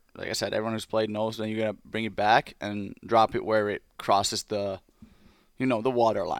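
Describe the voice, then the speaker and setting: This man has a Finnish accent and a fairly low pitch, speaking at a fairly quick pace with monotone, flat intonation, in a dry, close sound with no echo on a very clean recording with a silent background. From Finland. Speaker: pro hockey player. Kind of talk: casual chat.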